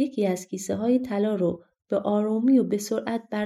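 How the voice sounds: Ordinary pitch variation from a natural reading voice, with a quiet background.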